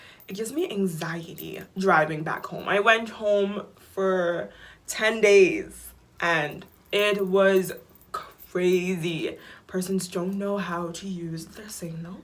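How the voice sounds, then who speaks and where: With audible room echo, a woman at medium pitch speaks very slowly, with fairly even intonation and big swings in loudness. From Bahamas, Nassau. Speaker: vlogger. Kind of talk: casual vlog chat.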